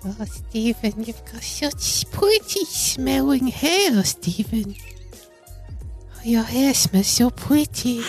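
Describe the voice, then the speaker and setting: In a put-on character voice, a female-sounding speaker goes at a very slow pace while faint music plays in the background. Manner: creepy, flattering.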